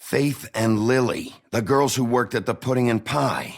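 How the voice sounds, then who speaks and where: Putting on a character voice, a man speaks at medium pitch and a moderate pace with very even loudness. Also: ordinary pitch variation. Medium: video game. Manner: blunt, curt.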